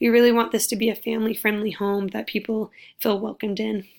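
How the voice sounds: A woman talks at a fairly quick pace in a fairly high, raspy voice with vocal fry and little pitch movement.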